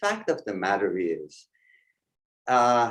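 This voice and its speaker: A man with a non-native accent. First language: not English. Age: 60s. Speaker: presenter. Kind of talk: webinar presentation. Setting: live online stream. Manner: hesitant with fillers.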